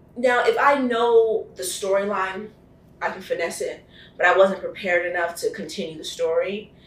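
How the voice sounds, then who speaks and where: A woman with an American accent at a moderate pace and medium pitch, ordinary pitch variation, big swings in loudness and audible room echo. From New Jersey (Keyport). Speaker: actress. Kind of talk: casual interview.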